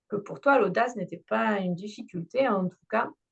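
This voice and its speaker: Somewhat breathy and at a medium pitch, a woman with a southern French accent speaks at a fairly slow pace with lively intonation. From southern France. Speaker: podcast host, theatre trainer for entrepreneurs. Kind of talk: interview.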